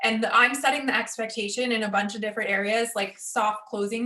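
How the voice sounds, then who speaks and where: Talking fairly quickly at a fairly high pitch, a woman is heard over noticeable background noise. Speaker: real estate agent. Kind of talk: interview. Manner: fast.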